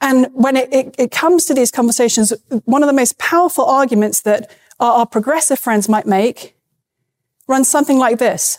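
With a British accent, a woman speaks at a high pitch and a moderate pace, her pitch varying in an ordinary way, the sound dry and close with no echo. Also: very even loudness. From UK. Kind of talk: debate.

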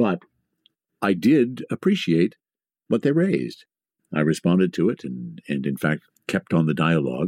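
Speaking at a moderate pace with long, frequent pauses, a man with a very deep, low pitch uses very wide pitch swings and vocal fry, the sound dry and close with no echo. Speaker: podcaster and voiceover artist. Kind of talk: casual interview. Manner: polished broadcaster delivery.

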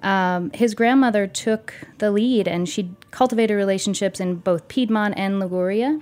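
The woman talks at a moderate speed, her medium-pitched voice varying in an ordinary way. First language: Italian. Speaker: cheese retail and operations director. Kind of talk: interview.

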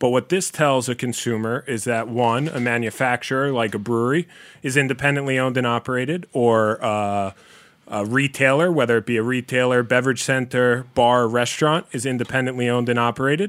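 A man with an American accent talks in an ordinary speaking voice, medium in pitch, at a fairly quick pace with fairly even intonation. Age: 30s. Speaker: beer store owner. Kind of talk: casual chat.

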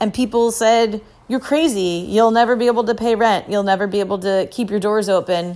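Using a plain, everyday voice, a woman talks at a fairly high pitch. Her pace is fairly quick and her intonation fairly even. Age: 30s. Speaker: chef. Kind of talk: casual chat.

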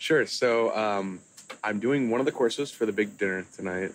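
A plain, everyday voice from a man with an American accent, fairly low in pitch with ordinary pitch variation. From Kansas City, US Midwest. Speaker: chef and restaurateur. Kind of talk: casual interview chat.

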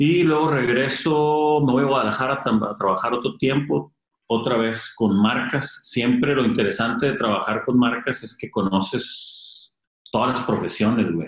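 A man uses a normal speaking voice at a moderate pace, with ordinary pitch variation. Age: 30s. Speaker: clothing brand founder. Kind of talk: casual interview chat.

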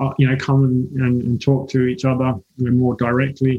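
This man's voice sits at a medium pitch. It sounds somewhat breathy. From England. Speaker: hemp entrepreneur. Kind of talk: interview. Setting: remote call.

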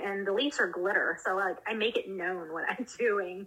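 Amid noticeable background noise, a woman with an American accent speaks at a moderate pace and medium pitch, with ordinary pitch variation. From US South, South Carolina. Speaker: cannabis-using mom, community group organizer. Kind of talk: casual interview.

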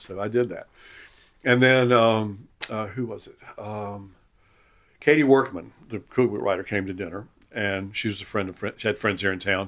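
A man with a Southern US accent on a very clean recording against a silent background. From Eastern North Carolina, US South. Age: 70s. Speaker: retired chef and writer. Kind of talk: casual chat. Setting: at home in his kitchen. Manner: halting, repeats words.

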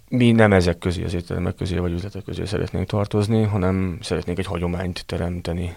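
Very fast, with hardly any pauses, a man speaks at a very deep, low pitch in a monotone, flat way. The recording is very clean, with a silent background. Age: 30s. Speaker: restaurant manager. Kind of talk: interview.

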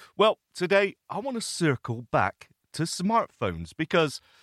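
A man speaks with vocal fry and very wide swings in pitch. The recording is very clean with a silent background, and the sound is dry and close with no echo. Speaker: podcast host for blind listeners. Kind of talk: casual tutorial podcast.

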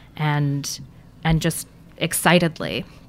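A woman talks in a plain, everyday voice. Her pitch is fairly low, with fairly even intonation. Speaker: museum curator. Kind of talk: interview conversation.

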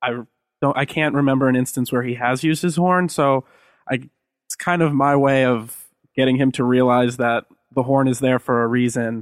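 Speaking at a moderate pace, a man keeps a medium pitch and fairly even intonation. The sound is dry and close, with no echo. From US Northeast (Massachusetts). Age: 20s. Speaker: dispute litigant. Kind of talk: casual chat.

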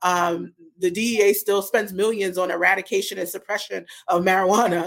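In an American accent, a woman speaks at medium pitch and a fairly quick pace, her intonation monotone and flat. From Brooklyn, New York. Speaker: cannabis business strategist. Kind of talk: interview.

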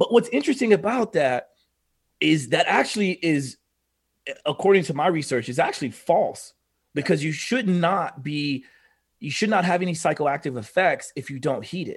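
In an American accent, a man speaks with a high pitch and lively intonation. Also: moderate pace. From Oklahoma. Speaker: biohacker and fitness expert. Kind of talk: casual interview chat. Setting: video call.

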